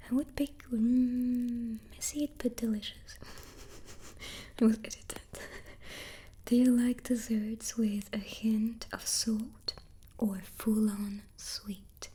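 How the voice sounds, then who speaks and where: A soft-spoken woman with a fairly high pitch and a dark, mellow, calm tone talks at a very slow pace. Her intonation stays fairly even, broken by long, frequent pauses. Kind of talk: ASMR soft-spoken chat. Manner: soft-spoken, calm.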